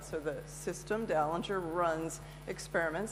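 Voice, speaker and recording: A woman speaks with audible room echo and noticeable background noise around her. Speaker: conference speaker. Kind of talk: conference talk. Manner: fast; halting, many fillers.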